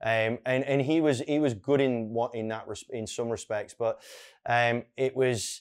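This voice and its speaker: This man speaks in an Irish accent at a medium pitch. His intonation is fairly even, and the recording is very clean with a silent background. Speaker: real estate coach. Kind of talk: interview conversation. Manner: fast at times.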